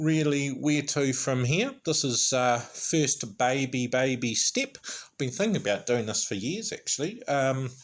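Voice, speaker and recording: A man with a New Zealand accent at a medium pitch, at a fairly slow pace with hardly any pauses and ordinary pitch variation. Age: 40s. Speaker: YouTuber. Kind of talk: vlog monologue. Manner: chatty.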